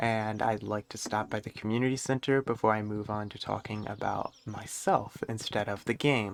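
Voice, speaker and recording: Soft-spoken and medium in pitch, a man speaks at a moderate pace. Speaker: gaming streamer. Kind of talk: gameplay commentary. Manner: quiet, talking softly.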